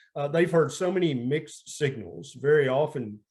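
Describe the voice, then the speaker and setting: Somewhat breathy and fairly high-pitched, a man talks with a Southern US accent at a moderate pace and ordinary pitch variation. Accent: Southern twang. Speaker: family physician. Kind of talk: interview.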